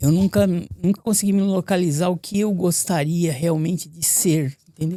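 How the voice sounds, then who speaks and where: A man speaks at a high pitch and a moderate pace, his tone dark and mellow. The sound is dry and close, with no echo. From São Paulo, Brazil. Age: 60s. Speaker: building cleaner. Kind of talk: interview. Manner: halting.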